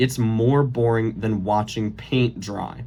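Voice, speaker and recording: This man's voice is somewhat breathy. He keeps a moderate pace with fairly even intonation. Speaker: college student. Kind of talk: late-night comedy monologue parody. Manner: stuttering, voice cracks.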